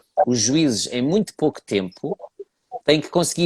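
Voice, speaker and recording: A man in a European Portuguese accent, fairly high-pitched and very fast, dry and close with no echo. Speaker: horse breed judge. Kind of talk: interview.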